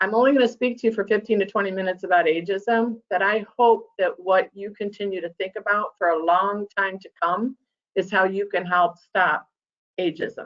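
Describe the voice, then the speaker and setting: A woman with a plain, everyday voice speaks at a moderate pace and a medium pitch, her intonation fairly even. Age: 60s. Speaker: nonprofit CEO and presenter. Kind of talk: presentation. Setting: virtual meeting. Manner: conversational.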